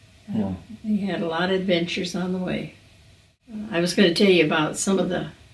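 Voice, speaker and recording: Over noticeable background noise, a woman speaks at a very fast pace with fairly even intonation. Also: medium pitch for a woman. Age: 80s+. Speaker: retired farmer. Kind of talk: interview answer.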